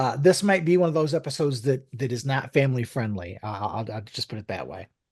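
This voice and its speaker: In an ordinary speaking voice, a man talks fairly quickly with lively intonation. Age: 60s. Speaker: podcast co-host. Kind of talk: casual chat.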